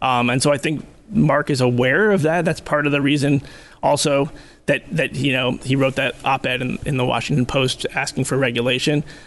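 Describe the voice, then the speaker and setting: A man with a normal speaking voice, a fairly high pitch, fairly even intonation and a moderate pace. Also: quiet background. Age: 30s. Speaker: nonfiction author. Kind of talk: interview conversation.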